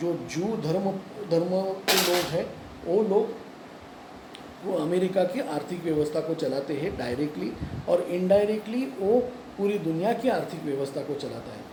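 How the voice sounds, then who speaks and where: The speaker's pitch varies in an ordinary way, with audible room echo and noticeable background noise. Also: man, high pitch for a man. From Pune, Maharashtra, India. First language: Marathi (speaking Hindi). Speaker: YouTube commentator. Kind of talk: opinion monologue to camera. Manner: halting, many fillers and restarts.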